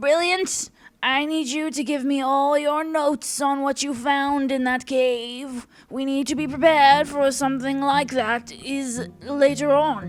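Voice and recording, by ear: In a put-on character voice, a female-sounding speaker talks at a fairly slow pace, gravelly and high-pitched.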